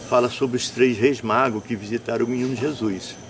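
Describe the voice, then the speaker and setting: At a moderate pace, a man with a medium pitch speaks amid noticeable background noise. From Brazil, northern Rio de Janeiro state (São Fidélis). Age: 60s. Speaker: folk tradition master and performer. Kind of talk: interview. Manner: halting, with repeated words.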